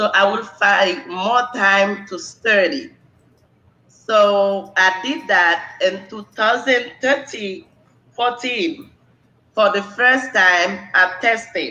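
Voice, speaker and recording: Very slowly, the speaker talks with a Haitian accent. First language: Haitian Creole. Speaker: nursing exam candidate. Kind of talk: interview.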